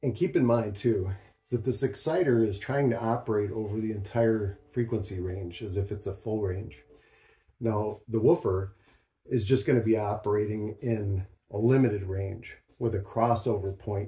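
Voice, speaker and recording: A man speaks at a fairly low pitch and moderate pace, his intonation fairly even. His tone is dark, mellow and somewhat breathy. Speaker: speaker. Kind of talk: tutorial. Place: home room.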